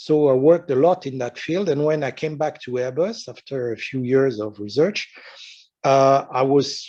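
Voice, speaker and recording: A man's dark, mellow voice in a strong French accent, medium in pitch with ordinary variation, at a fairly slow pace. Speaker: retired research engineer and science fiction writer. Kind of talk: lecture. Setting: conference talk with audience. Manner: halting, many fillers.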